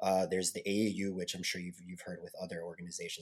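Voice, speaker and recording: The speech moves at a very fast pace. It carries a Chicago accent. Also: man. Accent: Chicago American. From US Midwest, South Side of Chicago. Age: 20s. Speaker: taekwondo instructor. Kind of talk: casual chat. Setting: remote recording.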